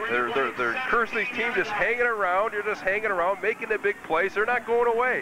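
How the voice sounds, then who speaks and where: Projecting his raised voice at a high pitch, a man sounds enthusiastic, talking fairly quickly with hardly any pauses, very even loudness and ordinary pitch variation over noticeable background noise. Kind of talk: color commentary, analyst talk during live game. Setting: press box at stadium. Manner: conversational, analytical, enthusiastic.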